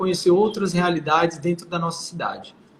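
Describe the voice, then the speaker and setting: Noticeable background noise fills the recording. A man talks through it at a fairly quick pace. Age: 20s. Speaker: political candidate. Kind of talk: interview. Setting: live stream.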